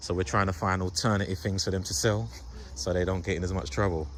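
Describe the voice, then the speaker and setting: A man with a London accent talks at a very fast pace in a very deep, low pitch with vocal fry, and audible room echo fills the space. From London, England. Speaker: youth worker and video host. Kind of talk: casual interview.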